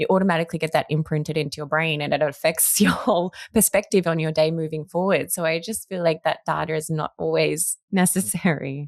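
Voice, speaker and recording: A woman speaks with an Australian accent at a very deep, low pitch. Her pace is fairly quick and her intonation fairly even. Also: hardly any pauses. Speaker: podcast host. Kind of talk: podcast interview.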